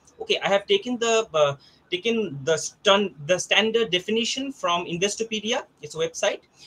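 A bright, sharp tone comes through at a moderate pace with ordinary pitch variation. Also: man, high pitch for a man. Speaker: college teacher. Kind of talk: presentation. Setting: video call. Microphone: video call.

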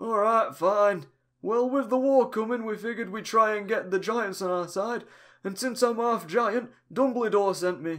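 In a put-on character voice with a rural English accent, a man speaks at a moderate pace and a high pitch on a very clean recording with a silent background. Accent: broad rural English, "innit", "me album". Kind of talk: comic parody voice acting. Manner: chatty, boastful, easygoing.

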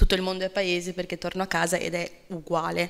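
Her intonation stays monotone and flat as a woman speaks at a moderate speed. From outside Italy. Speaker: event moderator. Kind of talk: event moderation and interview. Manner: halting, many fillers. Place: hall. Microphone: podium.

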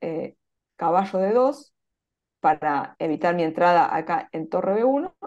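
A woman speaks with an Argentine accent against a quiet background. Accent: Argentine Spanish (Rioplatense). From Argentina. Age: 40s. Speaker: chess player; interviewee. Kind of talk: interview. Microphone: video call.

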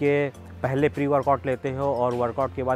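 A man with faint music in the background and a dry sound with no echo. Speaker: fitness vlogger. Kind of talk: fitness advice talk to camera. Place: open country.

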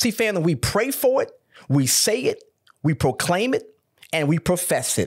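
A man's voice with very wide pitch swings against a quiet background. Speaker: pastor. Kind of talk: sermon. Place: studio. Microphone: studio mic.

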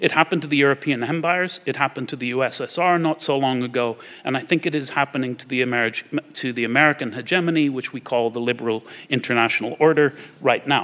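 A very fast male voice, fairly high in pitch, with a bright, sharp tone and ordinary pitch variation. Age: 50s. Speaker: war studies scholar; guest lecturer. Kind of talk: lecture. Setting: stage with audience. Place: hall. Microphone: podium.

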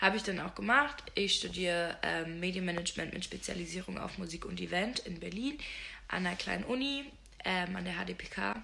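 A woman with a fairly low pitch and vocal fry speaks at a fairly quick pace with few pauses. Her tone is bright and sharp, her pitch variation is ordinary, and there is faint background noise.

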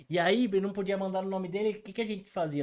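A man is speaking. His pace is very fast. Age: 50s. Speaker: podcast guest. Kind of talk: casual storytelling. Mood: amused, laughing storytelling. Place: studio. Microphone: studio mic.

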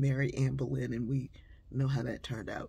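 A woman speaks in a very deep, low pitch with a dark, mellow, somewhat breathy tone. Her intonation is monotone and flat. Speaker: inspirational speaker and author; speaker. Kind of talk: storytelling monologue. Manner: conversational with frequent fillers. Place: home room. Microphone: phone near.

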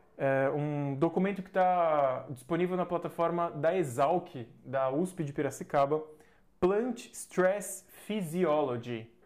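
A man's high-pitched voice at a very slow pace, with ordinary pitch variation. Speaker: agronomist teaching landscaping professionals; landscaping agronomy educator. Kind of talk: live stream lecture. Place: home room. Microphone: lapel.

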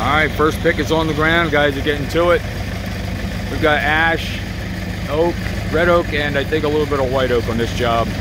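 Someone speaks at a moderate pace, with a dry sound, no echo, and loud background noise. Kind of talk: casual vlog commentary. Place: garden. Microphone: phone near.

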